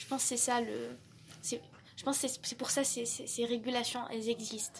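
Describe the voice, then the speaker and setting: The speaker is a woman. Her pitch is fairly high. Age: 20s. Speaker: university student. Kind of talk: casual discussion. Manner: halting, repeats words.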